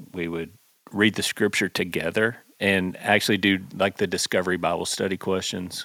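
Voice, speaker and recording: A man with a Texan accent has a very deep, low pitch and a bright, sharp tone. He speaks at a moderate pace in a flat monotone, on a very clean recording with a silent background. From Texas, north of Fort Worth. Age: 40s. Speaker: pastor and songwriter. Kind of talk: casual chat.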